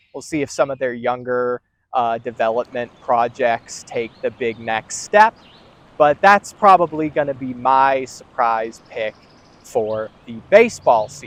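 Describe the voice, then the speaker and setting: An unremarkable speaking voice, this man's is medium in pitch with ordinary pitch variation and big swings in loudness, heard at a fairly slow pace in a dry, close sound with no echo. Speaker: sports video host. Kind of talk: sports news commentary.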